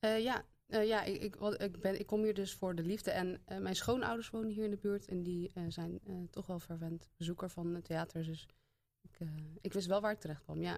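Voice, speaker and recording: A woman speaks at a medium pitch and moderate pace. Her intonation stays fairly even. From Zeeland, Zeeuws-Vlaanderen (Hulst). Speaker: theatre programmer. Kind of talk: casual interview. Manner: hesitant, many fillers.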